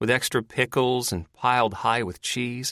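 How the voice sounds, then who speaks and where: A put-on character voice with fairly even intonation at a moderate pace, in dry, close sound with no echo. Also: man, medium pitch for a man. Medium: read story. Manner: sardonic, blunt.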